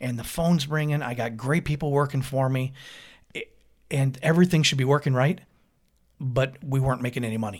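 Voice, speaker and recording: A man talks at a fairly quick pace with a medium pitch and a somewhat breathy sound. He leaves long, frequent pauses. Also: ordinary pitch variation, very clean recording, silent background. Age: 50s. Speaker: painting business owner. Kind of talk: interview.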